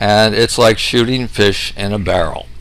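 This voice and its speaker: Amid noticeable background noise and audible room echo, a man speaks at a moderate pace with a fairly low pitch. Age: 60s. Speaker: medical researcher, doctor. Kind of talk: lecture. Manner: hesitant with frequent fillers.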